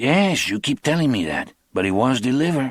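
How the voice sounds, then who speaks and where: A man puts on a raspy character voice at a medium pitch. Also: very clean recording, silent background. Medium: read story. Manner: slow, sparse, unhurried.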